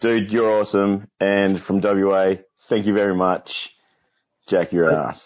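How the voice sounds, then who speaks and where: At a fairly slow pace, a man with an Australian accent speaks with fairly even intonation. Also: fairly low pitch for a man. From Western Australia. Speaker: caller working in prison sector. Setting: video call.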